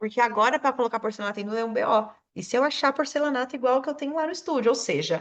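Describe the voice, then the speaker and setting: A woman talks at a very fast pace and a high pitch. Her tone is animated, with lively intonation. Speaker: self-employed studio owner, podcast guest. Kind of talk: casual chat.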